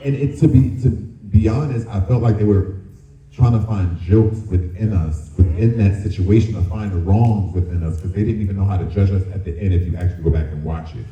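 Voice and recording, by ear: Low-pitched male voice at a moderate pace, ordinary pitch variation, audible room echo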